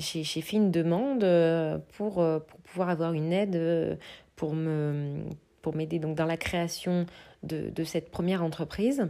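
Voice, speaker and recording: In a very clean recording with a silent background, a woman speaks very slowly at a fairly low pitch, her tone dark and mellow, with ordinary pitch variation. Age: 30s. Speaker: creative entrepreneur and podcast host. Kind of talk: casual solo podcast monologue. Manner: hesitant with many fillers.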